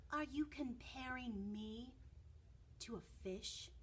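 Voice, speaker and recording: Against clear background noise, a woman puts on a growling character voice, high-pitched and delivered at a very slow pace. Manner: offended, indignant.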